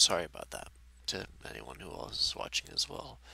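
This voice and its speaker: A man's fairly quick speech, dry with no echo. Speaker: gaming YouTuber; gaming video creator. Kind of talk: personal vlog update. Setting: face cam video. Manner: halting; low-energy. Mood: regretful, apologetic. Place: home room. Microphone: headset.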